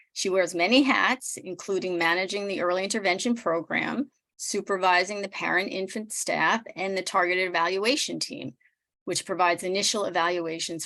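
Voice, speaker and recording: A woman talks at a moderate pace in a medium pitch, her tone bright and sharp, with ordinary pitch variation. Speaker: nonprofit executive director. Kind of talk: speaker introduction. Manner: measured.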